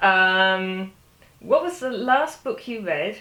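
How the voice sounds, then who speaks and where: The speaker has a British accent. There is noticeable background noise. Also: woman. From United Kingdom. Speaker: crime fiction and spy novel author. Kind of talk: casual talk to camera answering reader questions.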